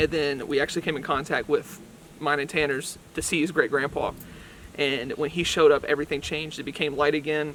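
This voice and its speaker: A man with a fairly high pitch speaks very fast amid noticeable background noise. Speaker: paranormal investigator, video creator. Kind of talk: casual vlog narration.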